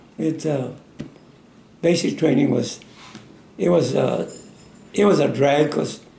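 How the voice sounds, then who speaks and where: Speaking in an American accent, a man uses a fairly high pitch and fairly even intonation at a moderate pace. Audible room echo and noticeable background noise are present. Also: long, frequent pauses. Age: 90s. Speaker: war veteran. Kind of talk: interview. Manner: halting.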